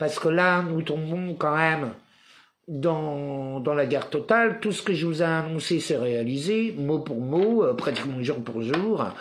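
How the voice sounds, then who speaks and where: There is audible room echo as a man speaks at a fairly slow pace with lively intonation. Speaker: spiritual commentator livestreamer. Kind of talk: live monologue; reading aloud own written text.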